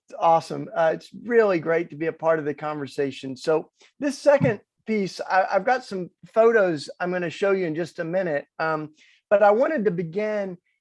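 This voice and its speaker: Over a quiet background, the speaker has a strong Southern US accent, ordinary pitch variation and a moderate pace. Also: man, big swings in loudness. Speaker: activist speaker. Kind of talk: inspirational talk.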